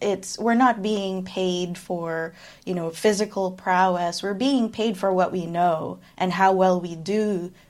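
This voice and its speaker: Recorded very cleanly against a silent background, a woman speaks very slowly at a medium pitch. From Philippines, raised mostly abroad. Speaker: performance engineer. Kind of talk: interview. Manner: articulate.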